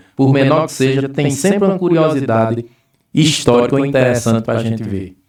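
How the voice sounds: Ordinary pitch variation comes with a moderate speaking pace. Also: man. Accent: Bahian.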